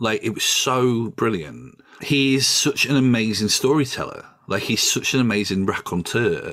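A man speaks with a South Yorkshire accent at a moderate pace. His loudness stays very even. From northern England, Doncaster. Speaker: journalist and podcaster. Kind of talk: casual chat. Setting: video call.

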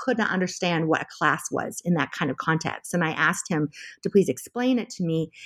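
A woman with an American accent, an unremarkable speaking voice, lively intonation and a fairly quick pace. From California, US. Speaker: journalism professor and memoir author. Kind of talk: interview about her memoir.

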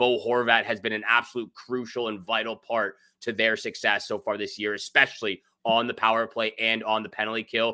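A man's medium-pitched voice, bright and sharp, in a flat monotone at a fairly quick pace, on a very clean recording with a silent background. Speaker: fantasy hockey podcast co-host. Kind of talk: casual sports talk and betting breakdown.

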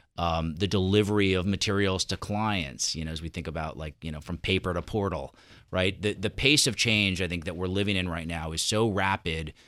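A man speaks at a fairly quick pace with hardly any pauses, his very deep, low voice bright and sharp in tone. The recording is very clean with a silent background. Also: ordinary pitch variation. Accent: American. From New York. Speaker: asset management executive. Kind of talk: interview. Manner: halting.

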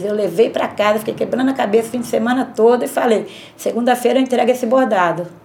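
Over noticeable background noise, a woman talks at a fairly quick pace with a fairly high pitch. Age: 50s. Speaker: embroiderer. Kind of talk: testimony.

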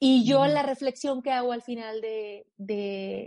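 This woman's voice has a dark, mellow tone at a fairly high pitch. Her pitch varies in an ordinary way. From Mexico, Aguascalientes. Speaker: mountaineer. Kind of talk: interview.

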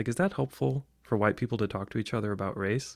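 On a very clean recording with a silent background, a man with a General American accent and an unremarkable speaking voice talks at a fairly quick pace, his fairly low pitch showing ordinary variation. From US Midwest. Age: 30s. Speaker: podcast guest. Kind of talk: casual chat.

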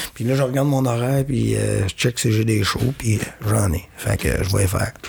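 This man speaks with a Quebec accent. His voice is somewhat breathy. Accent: Québécois French. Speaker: comedian. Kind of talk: casual chat. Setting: studio.

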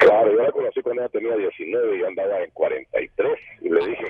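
A man's voice at a moderate pace. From Guatemala. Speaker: caller. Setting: phone call.

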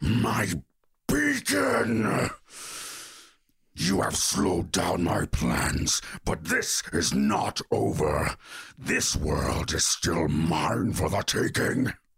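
Using a put-on character voice, a man speaks very slowly in a raspy, very deep, low pitch, leaving long, frequent pauses. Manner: roaring, menacing.

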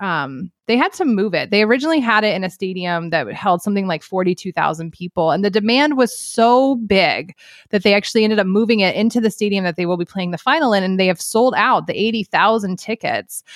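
A woman with a normal speaking voice talks at a fairly quick pace, her medium pitch carried by lively intonation. The sound is dry and close, with no echo. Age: 40s. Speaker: sports journalist. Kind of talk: casual chat.

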